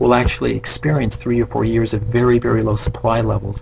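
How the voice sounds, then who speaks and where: There is noticeable background noise as a man delivers his words at a fairly quick pace. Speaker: real estate economist presenting webinar. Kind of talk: webinar presentation. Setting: online webinar. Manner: fast.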